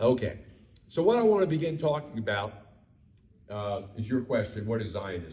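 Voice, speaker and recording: A man with an American accent talks at a fairly quick pace with lively intonation. His voice is somewhat breathy, and there is audible room echo. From Baltimore, Maryland, US. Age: 70s. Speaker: rabbi. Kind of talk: lecture. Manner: hesitant, many fillers.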